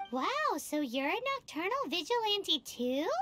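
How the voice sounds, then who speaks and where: Put-on character voice, extremely high in pitch, with very wide pitch swings and a fairly slow pace. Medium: video game. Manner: excitable, bubbly.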